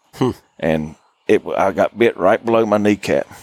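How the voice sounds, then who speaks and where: Recorded with a dry, close sound and no echo, a man talks at a moderate pace in an Appalachian accent. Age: 40s. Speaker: hunting guide. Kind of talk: casual chat. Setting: outdoors.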